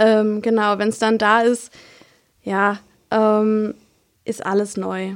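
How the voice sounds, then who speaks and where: Speaking very slowly, a woman leaves long, frequent pauses. Her fairly high voice is monotone and flat. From Palatinate, Germany (Kusel). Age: 20s. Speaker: midwife. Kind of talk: casual interview.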